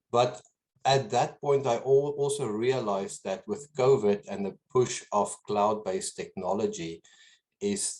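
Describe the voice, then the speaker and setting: A man with a slight South African accent speaks with ordinary pitch variation. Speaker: business owner. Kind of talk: interview. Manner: halting, many repetitions.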